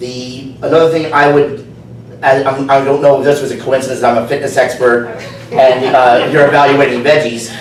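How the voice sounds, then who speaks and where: A man with a New Jersey accent speaks at a moderate pace in a fairly high pitch with fairly even intonation. Audible room echo and noticeable background noise fill the recording. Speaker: speech evaluator, fitness instructor. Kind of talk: speech evaluation at club meeting.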